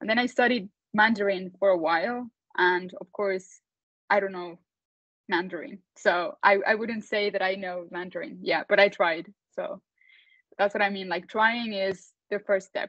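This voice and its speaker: A woman with a Spanish accent at medium pitch and moderate pace, with ordinary pitch variation and big swings in loudness. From Mexico, Mexico City. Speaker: entrepreneur, company founder. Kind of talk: panel talk to students.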